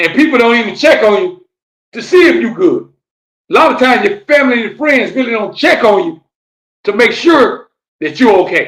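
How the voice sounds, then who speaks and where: A man's extremely high, animated voice swings very widely in pitch at a fairly quick pace. Long pauses come often. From Florida, Fort Lauderdale. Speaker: podcast host and rapper. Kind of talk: live-streamed motivational talk. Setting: live stream, solo on camera.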